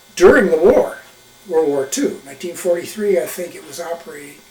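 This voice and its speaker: High-pitched male speech with noticeable background noise. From eastern Wyoming. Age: 80s+. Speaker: retired smokejumper. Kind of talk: oral history interview. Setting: videotaped interview. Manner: halting, with many fillers.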